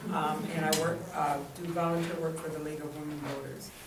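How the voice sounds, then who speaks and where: Noticeable background noise runs through the clip. There is also audible room echo. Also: woman. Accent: American. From Detroit area, Michigan (Hamtramck). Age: 60s. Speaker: panelist, retiree-to-be. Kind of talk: panel testimony. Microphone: handheld mic held too far.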